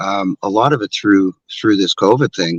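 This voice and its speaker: Recorded dry and close with no echo, a man with an unremarkable speaking voice talks at a moderate pace with fairly even intonation. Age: 60s. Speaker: martial arts instructor. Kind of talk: interview.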